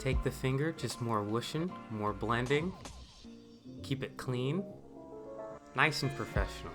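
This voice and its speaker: With music in the background, a man of medium pitch speaks at a fairly slow pace with lively intonation and long, frequent pauses. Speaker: amateur voice-over, boyfriend of the makeup artist. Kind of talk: comedic improvised voice-over of a makeup tutorial. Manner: joking, ad-libbed, mock-professional with filler words.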